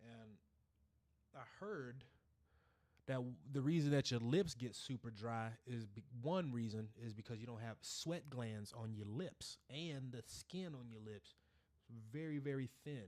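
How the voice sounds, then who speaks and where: A man's animated, medium-pitched voice at a fairly slow pace, with big swings in loudness. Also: ordinary pitch variation. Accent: Texas. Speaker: gaming streamer. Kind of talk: casual live stream chat.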